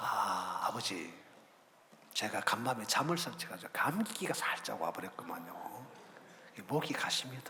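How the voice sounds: In a put-on character voice, a man whispers hoarsely and with strain at a moderate pace, leaving long, frequent pauses.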